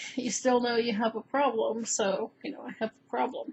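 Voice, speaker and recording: A woman talks at a fairly slow pace. Her voice has vocal fry. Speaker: vlogger. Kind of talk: personal health vlog. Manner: halting, stammering.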